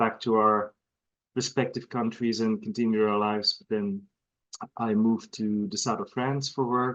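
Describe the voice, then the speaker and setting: Someone with a Belgian accent speaks at a moderate pace against a quiet background. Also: man. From Belgium, northern part near Antwerp. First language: Dutch (Flemish). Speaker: horse breeder. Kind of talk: casual interview. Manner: halting.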